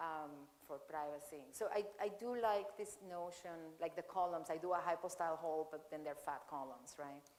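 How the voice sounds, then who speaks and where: Audible room echo surrounds a woman speaking at a moderate pace, fairly low in pitch with ordinary pitch variation. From Venezuela (Caracas). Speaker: architect. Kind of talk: Q&A after a lecture. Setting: lecture hall with audience. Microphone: echoing sound system.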